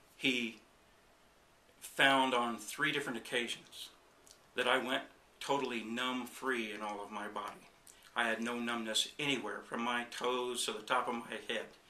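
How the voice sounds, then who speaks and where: The speaker uses a monotone, flat intonation at a moderate pace, with long, frequent pauses, audible room echo, and noticeable background noise. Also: man, medium pitch for a man. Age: 60s. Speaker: chiropractic patient. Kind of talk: testimony. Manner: halting, with fillers.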